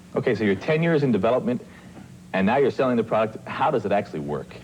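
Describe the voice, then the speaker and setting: A man speaks very fast at a medium pitch, his intonation lively and his loudness very even, with noticeable background noise behind him. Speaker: TV program host. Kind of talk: interview question.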